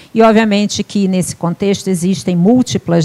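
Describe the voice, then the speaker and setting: Fairly even intonation at a moderate pace, with a dry, close sound and no echo. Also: woman. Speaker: professor. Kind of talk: lecture.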